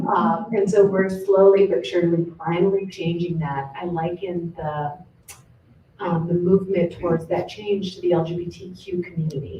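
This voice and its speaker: Over noticeable background noise, a woman with an American accent speaks at a moderate pace, her fairly low pitch held in fairly even intonation. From Southern California. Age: 50s. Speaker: professor. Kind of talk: panel talk.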